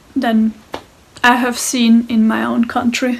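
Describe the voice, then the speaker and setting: A woman with a German accent, high-pitched, at a fairly slow pace. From Austria. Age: 20s. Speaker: interview guest. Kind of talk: interview monologue.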